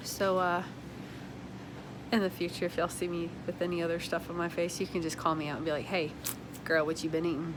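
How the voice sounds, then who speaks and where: A woman with a fairly low pitch speaks very fast in a monotone, flat intonation, broken by long, frequent pauses. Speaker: small business owner and vlogger. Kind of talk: casual vlog monologue.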